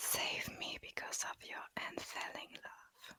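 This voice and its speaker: Whispered words from a woman, very slow in pace, amid noticeable background noise. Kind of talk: scripture reading. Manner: whispered, soft-spoken.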